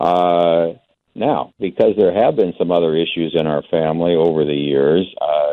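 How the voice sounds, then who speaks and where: A man with a very deep, low pitch talks with fairly even intonation. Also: moderate pace. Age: 70s. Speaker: radio caller. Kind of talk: phone-in testimony. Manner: hesitant, many fillers.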